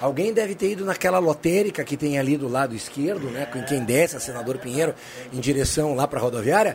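Over noticeable background noise, a man speaks at a very fast pace. His voice is fairly high, with lively intonation. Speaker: panelist. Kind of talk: casual chat.

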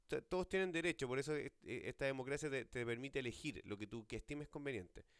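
A man with a Chilean accent, very wide pitch swings and a fairly quick pace. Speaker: podcast host. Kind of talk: casual chat.

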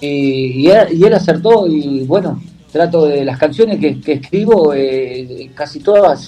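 A man with a Uruguayan accent, fairly high in pitch with ordinary pitch variation, over noticeable background noise. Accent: Uruguayan, kept. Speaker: bachata singer. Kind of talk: radio interview.

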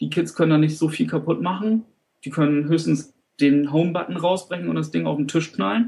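A man speaks in a fairly high pitch. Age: 30s. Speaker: teacher trainee. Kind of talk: interview. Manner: halting.

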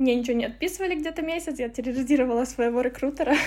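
A woman speaks with a high pitch. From Ukraine, Lviv. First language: Ukrainian (speaking Russian). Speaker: marketing strategist. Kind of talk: interview. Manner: halting.

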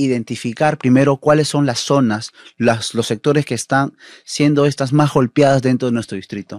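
A man with ordinary pitch variation, dry and close with no echo, over a quiet background. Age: 30s. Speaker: municipal election candidate. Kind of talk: political interview.

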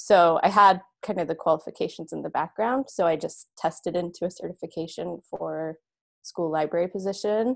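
At a moderate pace, a woman with an unremarkable speaking voice talks at a fairly low pitch with ordinary pitch variation against a quiet background. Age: 30s. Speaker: middle school librarian. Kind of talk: interview.

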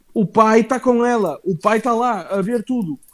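Speaking at a fairly slow pace with a European Portuguese accent, a man uses a high pitch with ordinary pitch variation. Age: 20s. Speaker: wrestling podcast host. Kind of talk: casual chat. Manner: animated.

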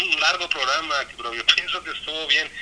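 Noticeable background noise sits behind the voice. The speaker is a man. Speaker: co-host. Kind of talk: casual chat.

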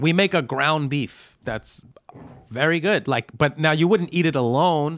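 A man in a New York accent speaks at a fairly high pitch with ordinary pitch variation. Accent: New York (Brooklyn) English. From Brooklyn, New York. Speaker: stand-up comedian and restaurateur. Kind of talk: casual chat. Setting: studio.

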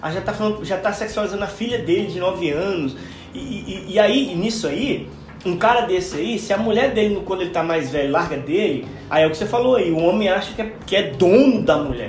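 Music plays in the background and room echo is audible as a man talks fairly quickly at a high pitch with lively intonation. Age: 40s. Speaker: podcast co-host. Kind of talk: casual chat.

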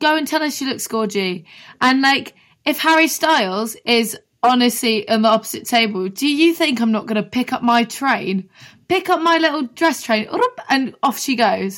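A woman's high voice with a southern English accent, lively intonation and a moderate pace. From Brighton, England. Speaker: singer-songwriter. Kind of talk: casual chat.

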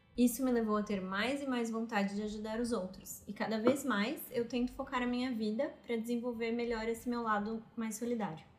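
With a fairly high pitch, a woman talks at a fairly quick pace with hardly any pauses. Her intonation is fairly even, and background noise is noticeable. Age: 30s. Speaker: podcast co-host. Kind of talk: casual chat.

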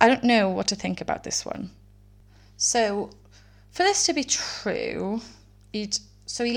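The voice belongs to a woman with a Welsh accent. She speaks at a fairly slow pace. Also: very clean recording, silent background. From Wales. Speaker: true crime podcast host. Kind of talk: casual solo podcast narration. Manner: rambling, conversational.

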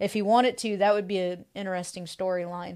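The recording is very clean, with a silent background. A woman speaks at medium pitch and a moderate pace, her intonation fairly even. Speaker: guest co-host. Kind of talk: casual chat. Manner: hesitant, many pauses.

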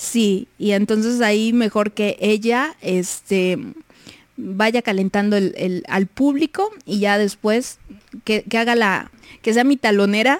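A woman talks very slowly in a fairly high voice with ordinary pitch variation and very even loudness. The sound is dry and close, with no echo. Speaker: radio host. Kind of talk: casual chat. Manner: drawls words.

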